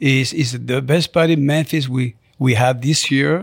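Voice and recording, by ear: Recorded very cleanly against a silent background, a man talks in a normal speaking voice at a medium pitch.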